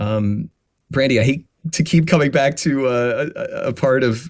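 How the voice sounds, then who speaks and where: The intonation is lively as a man speaks. The recording is very clean, and the background is silent. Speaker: voice actor. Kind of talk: podcast interview conversation. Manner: passionate; halting with fillers.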